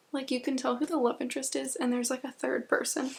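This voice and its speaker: A woman whispers. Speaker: book vlogger. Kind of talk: casual vlog chat. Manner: whispering.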